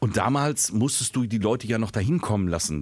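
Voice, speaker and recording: A man speaks at a fairly quick pace with lively intonation. The recording is very clean, with a silent background. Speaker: podcast co-host and voice-over artist. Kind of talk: casual chat.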